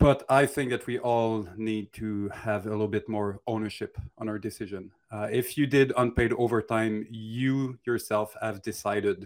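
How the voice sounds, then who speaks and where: Fairly even intonation accompanies speech at a moderate pace. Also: man. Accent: French Canadian. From Quebec. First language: French. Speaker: animator. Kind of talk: casual Q&A livestream.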